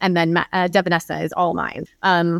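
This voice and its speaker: A woman with a plain, everyday voice and fairly low pitch speaks at a moderate pace in a very clean recording with a silent background and a dry, close sound with no echo. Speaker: security investigator and author. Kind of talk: podcast interview.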